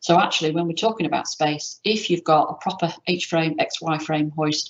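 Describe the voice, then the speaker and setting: At a fairly quick pace, a woman speaks in a fairly low pitch. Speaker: education buildings specialist presenter. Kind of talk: presentation with slides. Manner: fast.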